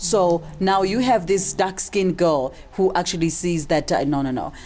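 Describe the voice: A woman's dark, mellow tone at a fairly low pitch, delivered at a moderate pace. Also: ordinary pitch variation.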